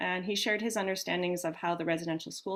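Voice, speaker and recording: A woman with a plain, everyday voice speaks at a fairly low pitch. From Canada, northern Ontario. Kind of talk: webinar hosting introduction. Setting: live online webinar.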